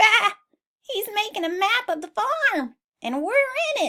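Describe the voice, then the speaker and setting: Squeaky and extremely high, a woman's put-on character voice comes through. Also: moderate pace. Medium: read story.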